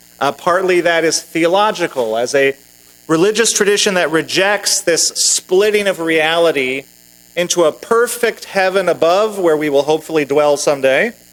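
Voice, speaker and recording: A high-pitched male voice with very even loudness, ordinary pitch variation and a moderate pace, over noticeable background noise. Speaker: minister giving a sermon. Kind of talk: sermon delivered to a congregation. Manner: conversational, humorous, wry.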